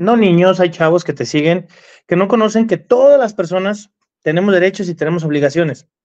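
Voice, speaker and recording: Against a quiet background, a man's high-pitched voice moves with lively intonation. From Mexico. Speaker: car enthusiast livestream co-host. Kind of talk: casual livestream chat. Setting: live stream. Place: home room. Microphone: video call.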